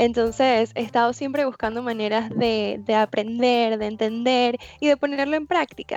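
A woman speaks in a plain, everyday voice, fairly high in pitch with fairly even intonation, at a moderate pace with hardly any pauses, the sound dry and close with no echo. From Venezuela. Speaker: life coach. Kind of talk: interview.

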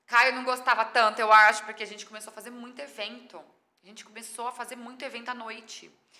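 At a very fast pace, a woman speaks in a fairly high voice with fairly even intonation and big swings in loudness. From Brazil, São Paulo state (Mirassol). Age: 30s. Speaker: chef and digital influencer. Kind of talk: podcast interview.

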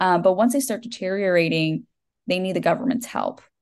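A woman with a Texan accent talks at a medium pitch with ordinary pitch variation. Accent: Texan American. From Texas. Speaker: debut novelist. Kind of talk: podcast interview.

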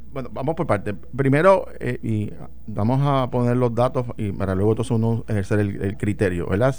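This is a normal speaking voice from a man at medium pitch. He keeps a moderate pace with ordinary pitch variation. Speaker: former legislator and political commentator. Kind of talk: radio talk show discussion. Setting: radio studio.

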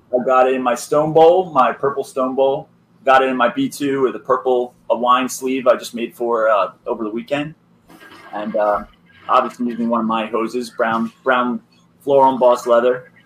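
Here a man uses a normal speaking voice at a medium pitch, with fairly even intonation and a moderate pace. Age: 20s. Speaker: hose maker. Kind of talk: casual chat.

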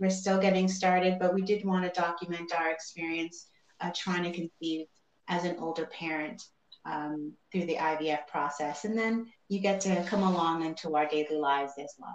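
A woman speaks at a moderate pace with fairly even intonation. Her pitch is fairly low. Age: 40s. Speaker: mother going through IVF. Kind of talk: interview.

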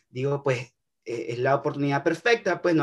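With a Nicaraguan accent, a man talks at a moderate pace with ordinary pitch variation. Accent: Nicaraguan Spanish, uses voseo. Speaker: young documentary filmmaker. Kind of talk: interview. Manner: halting, with many repetitions.

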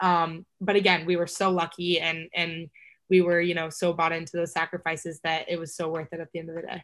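A woman with an American accent talks at a fairly low pitch in monotone, flat intonation. The recording is very clean, with a silent background. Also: fairly quick pace. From Texas. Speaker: college lacrosse player. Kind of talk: casual interview.

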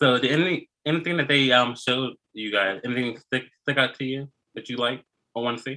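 A man's unremarkable speaking voice at a medium pitch, fairly quick, with ordinary pitch variation. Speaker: podcast host. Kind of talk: casual chat.

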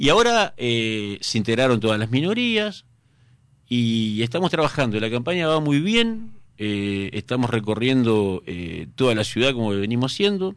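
Lively intonation marks this fairly slow speech in a Rioplatense accent, set against a quiet background. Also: man, medium pitch for a man. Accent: Argentine Spanish (rioplatense). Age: 50s. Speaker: mayoral candidate, politician. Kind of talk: radio interview. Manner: hesitant, frequent filler 'eh' and repetitions.

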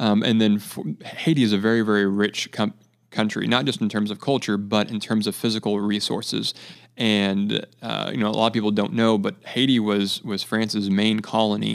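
Speaking at a fairly low pitch, a man keeps a moderate pace and fairly even intonation. The recording is very clean, with a silent background. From US West Coast (central coast of California). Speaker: charity water project coordinator. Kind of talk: podcast interview.

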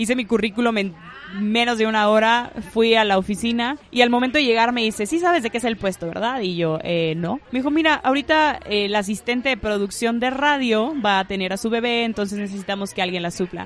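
A woman in a northern Mexican accent talks fairly quickly at a fairly high pitch with ordinary pitch variation, as noticeable background noise carries underneath. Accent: northern Mexican Spanish (Monterrey). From Monterrey, northern Mexico. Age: 20s. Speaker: communications graduate and podcaster. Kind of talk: casual chat.

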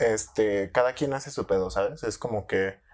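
On a very clean recording over a silent background, a man's speech unfolds fairly slowly. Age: 20s. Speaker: podcast host. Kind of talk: casual chat. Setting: studio.

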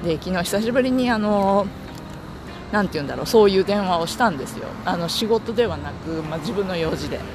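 A man's high voice in a relaxed tone, fairly quick pace and ordinary pitch variation, with music in the background and audible room echo. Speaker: podcaster. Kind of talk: casual monologue. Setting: outdoors walking to the office. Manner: relaxed, frequent laughter.

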